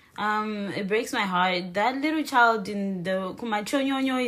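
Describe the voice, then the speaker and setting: There is audible room echo around a woman's voice. She speaks at a fairly high pitch with ordinary pitch variation. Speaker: podcast host. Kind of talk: casual chat.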